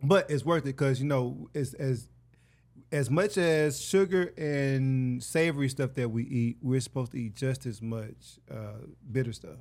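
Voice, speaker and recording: In a very clean recording with a silent background, a man with a Mississippi accent speaks fairly slowly at a medium pitch with ordinary pitch variation. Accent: Southern US (Mississippi). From US South, Hattiesburg, Mississippi. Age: 30s. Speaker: actor and writer. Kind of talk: casual chat. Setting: studio. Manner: animated.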